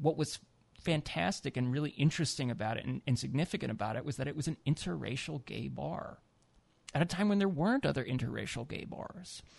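A man with an American accent, vocal fry, a fairly high pitch, lively intonation and a very fast pace. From US Midwest. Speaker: author. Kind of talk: radio interview. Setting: studio.

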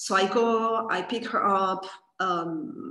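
A woman speaks at a medium pitch with lively intonation. Audible room echo surrounds her voice. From Spain, Catalonia. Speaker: yoga teacher. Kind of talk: personal birth story interview.

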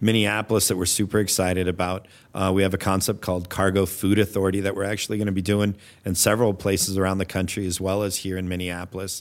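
Intonation is monotone and flat, at a very fast pace. The recording is very clean, with a silent background. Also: man, very deep, low pitch for a man. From Alaska (Anchorage). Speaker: restaurant executive. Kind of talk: interview.

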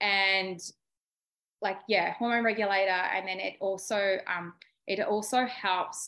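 A woman with an Australian accent speaks at a fairly slow pace and medium pitch, her tone bright and sharp and her intonation fairly even. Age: 30s. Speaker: beauty therapist. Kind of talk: casual chat.

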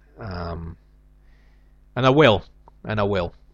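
The voice belongs to a man. It sits very deep and low. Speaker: comedian and podcaster. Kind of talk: solo comedic monologue podcast. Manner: hesitant, filler-heavy.

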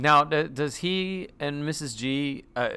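The voice has a bright, sharp tone. It comes with an American accent. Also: man. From North Carolina, US South. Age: 40s. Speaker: actor and comedian. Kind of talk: casual chat.

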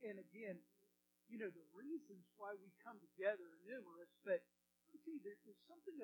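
In a Texan accent, a man talks at a fairly quick pace with a high pitch. His tone is warm and enthusiastic. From Texas, American. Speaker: pastor giving a sermon. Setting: church sanctuary. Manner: warm, enthusiastic, conversational.

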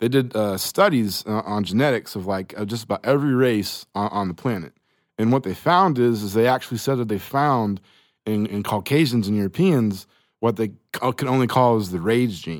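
A male voice with an American accent, moderate pace and ordinary pitch variation, on a very clean recording with a silent background. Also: medium pitch for a man. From Oklahoma (Choctaw). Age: 30s. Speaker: podcast guest. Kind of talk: casual chat. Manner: halting.

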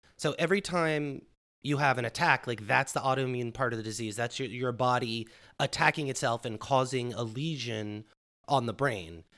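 A man speaks at a medium pitch in a bright, sharp tone with ordinary pitch variation. The recording is very clean, with a silent background. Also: moderate pace. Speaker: podcast co-host. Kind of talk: casual chat.

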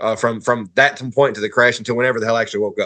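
A man with a Southern US accent speaks in a bright, sharp tone against a quiet background. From northern Alabama (Huntsville). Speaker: podcast guest. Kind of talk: casual chat.

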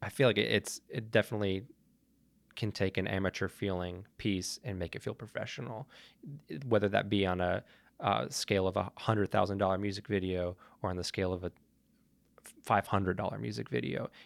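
In a very clean recording with a silent background and a dry, close sound with no echo, a man with a fairly low pitch and ordinary pitch variation speaks at a fairly quick pace but with long, frequent pauses. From Montreal, Canada. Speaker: Steadicam operator and cinematographer. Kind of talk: casual interview.

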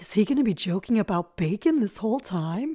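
A woman's raspy, put-on character voice at a medium pitch and a fairly quick pace. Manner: complaining, doing an imitation.

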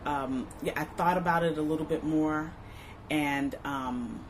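A woman's very deep, low voice in an American accent, at a fairly slow pace with ordinary pitch variation. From US West Coast, Inglewood, Los Angeles area. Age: 40s. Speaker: mother sharing family history. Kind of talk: oral history interview. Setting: recording at an arts space. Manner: hesitant, many fillers.

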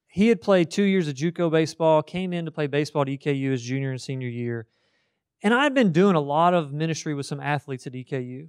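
With a Kentucky accent, a man talks very fast in an animated tone at a fairly high pitch with ordinary pitch variation, recorded dry and close with no echo. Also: quiet background. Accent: Kentucky Southern US. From central Kentucky, Marion County. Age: 30s. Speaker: college ministry staff speaker. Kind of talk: sermon-style talk to students. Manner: animated, conversational.

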